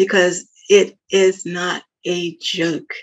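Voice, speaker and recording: A woman speaks in a medium-pitched voice. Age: 70s. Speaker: retired nurse. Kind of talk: interview answer.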